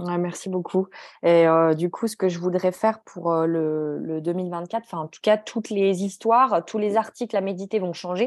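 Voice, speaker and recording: This woman has an ordinary speaking voice, medium in pitch, with fairly even intonation at a moderate pace. Her loudness swings widely against a quiet background. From France, Grenoble. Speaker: journal creator and publisher. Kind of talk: interview.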